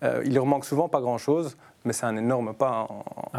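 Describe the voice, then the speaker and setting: A man talks at a fairly quick pace with fairly even intonation. Noticeable background noise sits behind him. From Brussels, Belgium. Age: 30s. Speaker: footballer and youth team leader. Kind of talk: casual chat.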